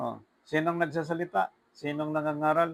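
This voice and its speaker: A man with a normal speaking voice talks at a fairly slow pace, his pitch fairly high and his intonation fairly even. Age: 50s. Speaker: preacher. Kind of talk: sermon.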